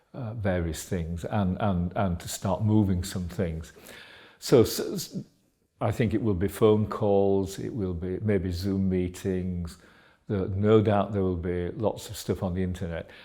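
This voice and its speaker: A man with a Yorkshire accent speaks at a fairly slow pace in a very deep, low voice. His tone is dark and mellow, and his intonation stays fairly even. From Yorkshire, England. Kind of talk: interview. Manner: halting, many fillers.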